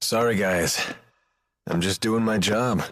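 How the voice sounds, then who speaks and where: Using a put-on character voice, a man speaks in a raspy, medium pitch at a fairly slow pace with fairly even intonation. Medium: video game. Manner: laid-back.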